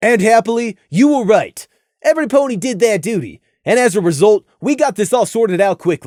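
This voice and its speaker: A man's put-on character voice, high in pitch, at a fairly quick pace. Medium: read story. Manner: measured, professional.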